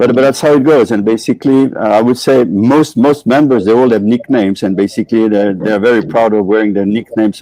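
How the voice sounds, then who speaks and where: A man's fairly low-pitched, dark, mellow voice at a fairly quick pace. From Switzerland. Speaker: motorcycle club chapter director. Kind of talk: interview. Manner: hesitant, with filler words.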